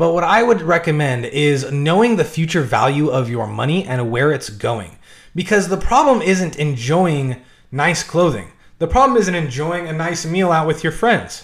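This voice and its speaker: A man talks with lively intonation at a moderate pace. It is a normal speaking voice. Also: fairly high pitch for a man. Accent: American. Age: 20s. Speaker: personal finance YouTuber. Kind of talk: tutorial.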